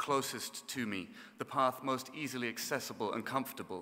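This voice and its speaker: In a southern English accent, a man speaks at a fairly quick pace. His voice sits at a medium pitch with fairly even intonation. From southern England. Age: 30s. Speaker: orchestra conductor. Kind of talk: keynote speech. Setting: graduation ceremony with audience. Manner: formal.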